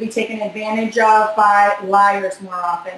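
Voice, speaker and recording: A woman speaks with a Boston accent. Noticeable noise runs in the background. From Boston, US. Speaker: body language expert. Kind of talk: interview. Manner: fast.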